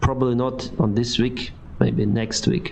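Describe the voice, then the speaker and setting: A man at a medium pitch and moderate pace, with noticeable background noise and audible room echo. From Ukraine. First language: Ukrainian or Russian. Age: 30s. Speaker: airline pilot and streamer. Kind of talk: live stream Q&A reading chat. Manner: halting.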